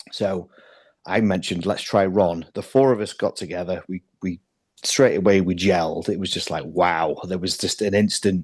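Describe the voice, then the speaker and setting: With a slight Welsh accent, a man speaks at a moderate pace in a very deep, low pitch with fairly even intonation against a quiet background. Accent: slight Welsh twang. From North Wales (Llandudno). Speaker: metal band drummer. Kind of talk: interview.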